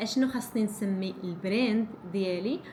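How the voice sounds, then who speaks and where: Noticeable background noise is present throughout. The speaker's intonation stays lively. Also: woman. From Morocco, Ouled Hriz region. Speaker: vlogger, small business owner. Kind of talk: casual vlog talk. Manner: halting, many restarts.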